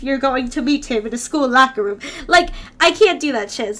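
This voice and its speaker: A woman speaks in a high, bright and sharp voice, raised and projected, with an animated tone and lively intonation. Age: 20s. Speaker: streamer doing tarot readings. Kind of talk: casual live-stream chat. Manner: animated, giggly.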